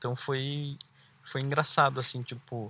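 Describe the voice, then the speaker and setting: A man with a Brazilian accent speaks in a bright, sharp tone at a fairly high pitch, on a very clean recording with a silent background. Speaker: travel podcast host, cyclist. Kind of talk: casual chat. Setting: outdoors by a lake.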